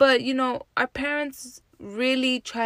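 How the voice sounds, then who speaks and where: In a very clean recording with a silent background, a woman with an American accent speaks in an animated tone. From New Jersey, Jersey City. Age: 30s. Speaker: podcast host. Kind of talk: casual solo monologue.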